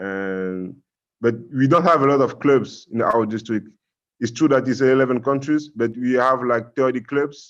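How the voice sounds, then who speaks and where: A man speaks with a French accent at a moderate pace. The background is quiet. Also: medium pitch for a man, ordinary pitch variation. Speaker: Rotaract club member presenting abroad. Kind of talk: online conference presentation and Q&A. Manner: halting.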